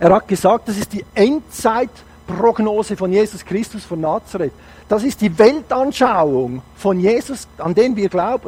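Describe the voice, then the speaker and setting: Over noticeable background noise, a man with a high pitch talks at a fairly slow pace, his tone animated and his intonation lively. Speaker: guest preacher. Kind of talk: sermon. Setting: church service.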